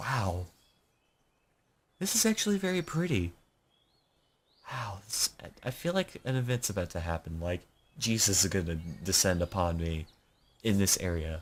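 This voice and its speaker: Long, frequent pauses break up a man's speech at a moderate pace. His voice is fairly low and somewhat breathy, with ordinary pitch variation. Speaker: gaming YouTuber. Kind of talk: let's play commentary with reading aloud. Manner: animated. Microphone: studio condenser XLR mic.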